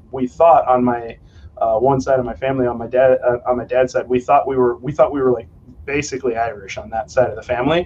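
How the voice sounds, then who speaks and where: In a normal speaking voice, a man with an American accent talks at medium pitch and a fairly quick pace, with fairly even intonation. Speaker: kettlebell trainer. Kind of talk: casual chat.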